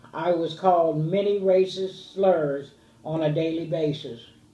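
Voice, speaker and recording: With audible room echo, a woman speaks fairly slowly at a fairly low pitch with fairly even intonation. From US Midwest, Dayton, Ohio. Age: 60s. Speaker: interviewee, grandmother. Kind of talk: family oral history interview.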